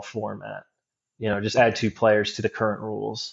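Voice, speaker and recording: A man speaks with an American accent. His pitch sits in the medium range. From Cincinnati, Ohio. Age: 30s. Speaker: paintball player. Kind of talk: casual chat. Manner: rambling, self-deprecating.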